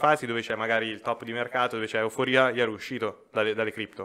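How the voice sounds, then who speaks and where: In an Umbrian accent, a man talks at a very fast pace with a bright, sharp tone and monotone, flat intonation against a quiet background. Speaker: financial advisor; podcast guest. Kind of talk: casual chat. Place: studio. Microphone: studio mic.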